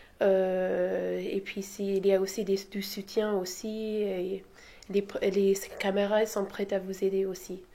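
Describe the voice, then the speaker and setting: A woman speaks very slowly at a medium pitch with a dark, mellow tone. Her intonation is monotone and flat. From outside France. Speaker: geography student. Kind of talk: interview.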